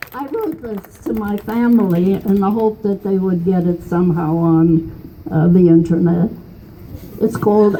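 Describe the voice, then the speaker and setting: A woman speaks at a fairly slow pace with a fairly low pitch and ordinary pitch variation. Noticeable background noise runs beneath her voice. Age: 80s+. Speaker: political activist. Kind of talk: rally speech.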